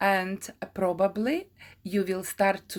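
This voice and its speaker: With a non-native accent, a woman speaks at medium pitch in a very clean recording with a silent background. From Ukraine. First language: Ukrainian. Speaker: craft teacher. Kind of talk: tutorial. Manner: halting, many fillers.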